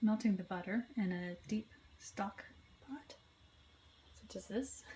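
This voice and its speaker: With noticeable background noise, a woman speaks at a fairly slow pace with an American accent. Her pitch is medium, with ordinary pitch variation. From Southern US. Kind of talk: class presentation.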